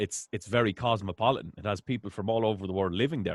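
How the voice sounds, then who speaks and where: A man speaks with an Irish accent at a fairly quick pace. His pitch is medium. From Ireland. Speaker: interviewer. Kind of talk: interview. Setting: call.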